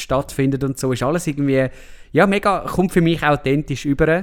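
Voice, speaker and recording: This man has an unremarkable speaking voice with a fairly high pitch and ordinary pitch variation. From Switzerland, Lake Zurich area. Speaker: film podcast host. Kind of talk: casual chat.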